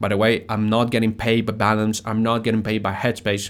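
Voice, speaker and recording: A man with a Spanish accent in a very clean recording, silent background. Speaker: podcast host. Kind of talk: casual solo talk. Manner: halting.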